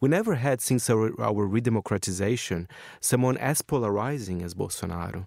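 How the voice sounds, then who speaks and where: Speaking at a fairly quick pace, a man with a Portuguese accent uses a medium pitch and ordinary pitch variation, his sound dry and close with no echo. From Brazil, São Paulo city. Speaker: magazine correspondent. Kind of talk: radio interview.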